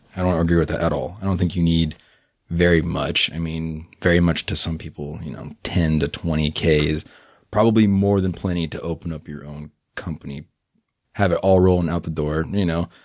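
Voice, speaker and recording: His pitch is very deep and low. The man speaks at a moderate pace with fairly even intonation. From Atlanta, Georgia. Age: 20s.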